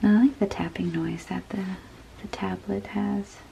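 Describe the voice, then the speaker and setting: Noticeable background noise is present. A woman speaks fairly slowly over it. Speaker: digital artist. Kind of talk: relaxing art vlog narration to camera.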